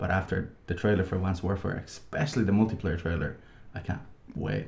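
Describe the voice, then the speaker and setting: A man speaks softly, with a very deep, low pitch and ordinary pitch variation. The delivery is somewhat breathy and fairly quick. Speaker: gaming podcast co-host. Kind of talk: casual chat. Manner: soft-spoken. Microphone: unusually quiet on the waveform.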